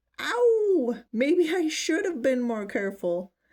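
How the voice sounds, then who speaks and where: A woman's high, put-on character voice at a fairly slow pace, with very wide pitch swings. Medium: read story.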